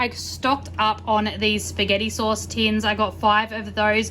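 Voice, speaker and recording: Noticeable background noise sits behind a woman speaking with an Australian accent. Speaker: lifestyle vlogger. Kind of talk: casual haul vlog talk. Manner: fast.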